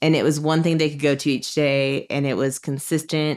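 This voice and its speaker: Speaking at a moderate pace, a woman with a very deep, low pitch keeps her intonation monotone and flat. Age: 30s. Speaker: bereaved parent. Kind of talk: casual chat.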